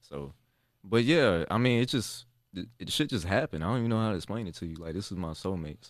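Recorded very cleanly with a silent background, a man with an American accent speaks very fast at a fairly low pitch, with lively intonation and big swings in loudness. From North Carolina, Fayetteville. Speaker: music producer and couple vlogger. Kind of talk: casual chat.

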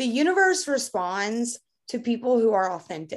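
A woman with a Kentucky accent, lively intonation and a fairly slow pace. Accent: Kentucky Southern US. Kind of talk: casual chat.

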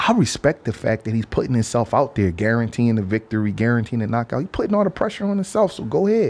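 In a very clean recording with a silent background, a man of medium pitch talks at a fairly quick pace with lively intonation. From Philadelphia. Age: 40s. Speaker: boxing trainer. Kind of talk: podcast interview.

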